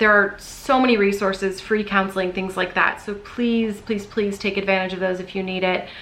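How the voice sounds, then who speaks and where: A woman's monotone, flat intonation comes through noticeable background noise. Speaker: vlogger. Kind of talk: casual vlog talk to camera. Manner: fast.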